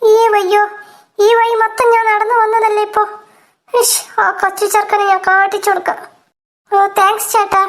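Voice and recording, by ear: Putting on a cartoonish character voice, a woman speaks at an extremely high pitch and a moderate pace, with monotone, flat intonation and very even loudness.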